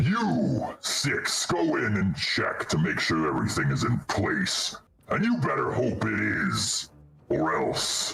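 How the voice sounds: A man does a put-on character voice, booming and gravelly with vocal fry, at a slow pace. His pitch swings very wide, and the room echo is audible. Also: fairly low pitch for a man, fairly bright tone.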